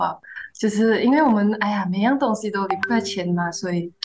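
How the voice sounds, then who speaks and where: A woman with a medium pitch sounds somewhat breathy, with lively intonation. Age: 20s. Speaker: fresh graduate and intern. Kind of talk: casual chat.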